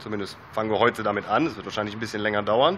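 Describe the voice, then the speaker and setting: A man's bright, sharp tone over light background noise. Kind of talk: casual DIY tutorial vlog. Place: garage. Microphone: phone near.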